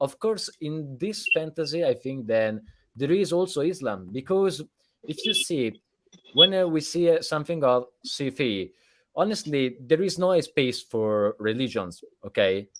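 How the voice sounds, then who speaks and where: A man with an Italian accent, fairly high in pitch, with very wide pitch swings at a fairly slow pace. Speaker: podcast host. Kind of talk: live interview. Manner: halting.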